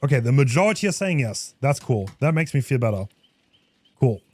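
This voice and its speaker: Over a silent background in a very clean recording, a man with a non-native accent speaks fairly quickly at a fairly high pitch, his tone animated and somewhat breathy. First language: not English. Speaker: gaming streamer. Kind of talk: live game stream commentary. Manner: casual, animated.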